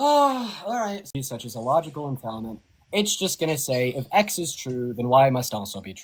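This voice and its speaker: A somewhat breathy man with a fairly high pitch makes very wide pitch swings and big swings in loudness. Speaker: online political debater. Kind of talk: heated debate. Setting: livestream call. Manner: fast.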